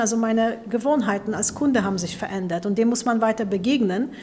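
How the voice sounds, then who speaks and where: The woman's voice is fairly high and somewhat breathy. She keeps a moderate pace with ordinary pitch variation. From Poland. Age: 40s. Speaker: business executive. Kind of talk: interview.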